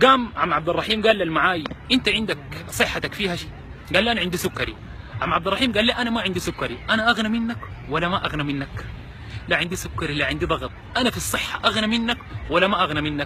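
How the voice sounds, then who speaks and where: Over noticeable background noise, a man with a Sudanese accent talks very fast in a high voice with lively intonation. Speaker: charity volunteer. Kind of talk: storytelling.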